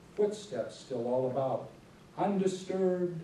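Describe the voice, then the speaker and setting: A man speaks with an American accent and lively intonation. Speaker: poet. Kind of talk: poetry reading. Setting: church hall, live audience.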